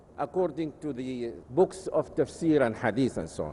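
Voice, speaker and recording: The man's tone is dark and mellow. He talks fairly slowly. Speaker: Islamic scholar. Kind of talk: lecture. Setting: conference session. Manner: measured, with frequent hesitations.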